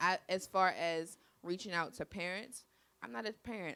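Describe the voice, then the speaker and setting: Speaking with an American accent, a woman uses a medium pitch, a bright, sharp tone, vocal fry and ordinary pitch variation. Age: 20s. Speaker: college student and former dance teacher. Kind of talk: audience testimony at community forum. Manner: hesitant, many fillers.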